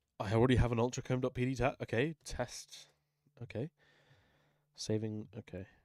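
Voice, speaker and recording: A man talks with an English accent. His tone is dark and mellow. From England. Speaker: music producer streamer. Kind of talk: live stream tutorial. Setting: live stream. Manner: casual thinking aloud. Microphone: quiet on stream.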